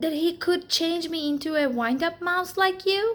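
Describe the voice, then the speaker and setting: Using a put-on character voice, a woman speaks at an extremely high pitch. Her pace is moderate. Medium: read story.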